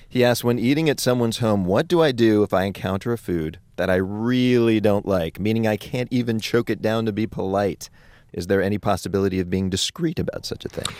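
A plain, everyday voice talks at a fairly quick pace with hardly any pauses. The pitch varies in an ordinary way, and the recording is very clean with a silent background. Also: man, fairly low pitch for a man. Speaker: radio host. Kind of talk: scripted radio banter and interview. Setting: studio.

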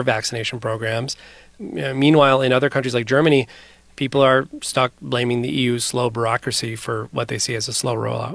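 A man's medium-pitched voice with vocal fry, fairly even intonation and a fairly quick pace. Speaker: foreign correspondent. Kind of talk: news report conversation.

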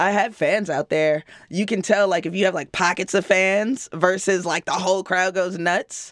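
An ordinary speaking voice from a woman at medium pitch, fairly even in intonation, at a moderate pace with hardly any pauses, in a dry, close sound with no echo. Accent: American. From Chicago. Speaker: rapper. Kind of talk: interview.

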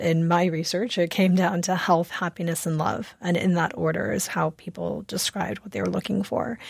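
In an American accent, a woman with a normal speaking voice and fairly low pitch talks at a moderate pace with ordinary pitch variation and hardly any pauses. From US Midwest, Chicago suburbs. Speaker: author. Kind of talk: radio interview. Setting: remote studio.

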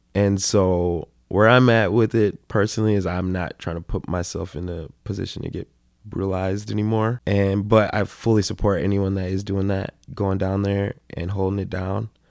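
In a very clean recording with a silent background, a man with an American accent speaks at a moderate pace in a fairly low, flat monotone. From Minneapolis, Minnesota. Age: 20s. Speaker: rapper. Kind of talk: casual interview. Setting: host's home.

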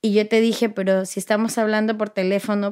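A woman talks at a fairly quick pace with fairly high pitch. She has a normal speaking voice. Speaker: interviewee, daughter. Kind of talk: interview.

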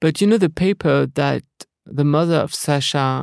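A man's fairly high-pitched voice with fairly even intonation, dry and close with no echo, in a very clean recording against a silent background. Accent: French. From France. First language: French. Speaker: film director. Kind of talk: interview. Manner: halting.

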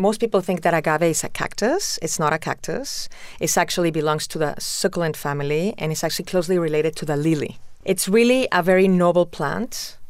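The speaker has a Spanish accent and a fairly quick pace. Pitch varies in an ordinary way. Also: woman, fairly low pitch for a woman. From Mexico City, Mexico. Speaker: tequila company founder. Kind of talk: interview.

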